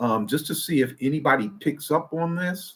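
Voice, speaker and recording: Using an ordinary speaking voice, a man with an American accent speaks at a fairly high pitch with lively intonation. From Detroit, US Midwest. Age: 60s. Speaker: IT professional and retirement channel host. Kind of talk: casual livestream talk. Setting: live stream. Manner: relaxed, with frequent fillers.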